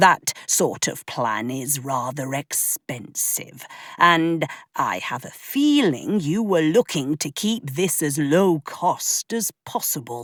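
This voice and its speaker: At a fairly slow pace, the speaker uses a put-on character voice pitched in the middle range. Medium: read story. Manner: affable, easygoing.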